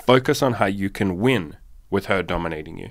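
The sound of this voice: A man's low-pitched voice with lively intonation, on a very clean recording with a silent background. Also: moderate pace.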